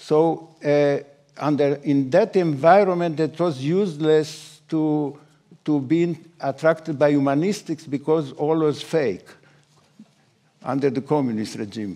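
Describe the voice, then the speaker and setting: A man's fairly high voice carries a dark, mellow tone at a fairly slow pace. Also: ordinary pitch variation. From Romania. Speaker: nanoscience laureate, scientist. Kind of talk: panel discussion. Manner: halting, many fillers.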